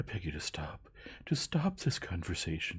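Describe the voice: A squeaky, put-on character voice whispers. The pace is moderate. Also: man.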